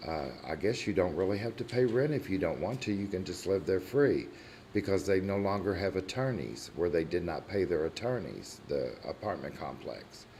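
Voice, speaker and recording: In a room with audible echo, a man with an American accent talks at a moderate pace, his very deep, low pitch carrying a dark, mellow tone, vocal fry and lively intonation. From Kentucky, La Grange area. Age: 60s. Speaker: resident speaking at public comment. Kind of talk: public comment at council meeting. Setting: city council meeting room.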